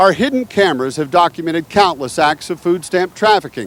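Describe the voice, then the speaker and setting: With lively intonation, a man speaks in a normal speaking voice. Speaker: TV news reporter. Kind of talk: TV news report.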